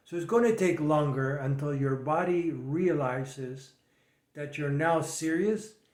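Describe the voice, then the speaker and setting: A man speaks at a fairly high pitch with ordinary pitch variation. Audible echo fills the room. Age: 70s. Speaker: fitness and nutrition coach. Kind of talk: monologue advice video.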